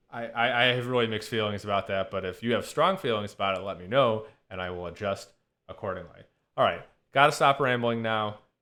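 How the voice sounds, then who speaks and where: A man speaks at a very fast pace with medium pitch and ordinary pitch variation. His loudness swings widely, and room echo is audible. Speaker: statistics professor. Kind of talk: lecture. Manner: halting.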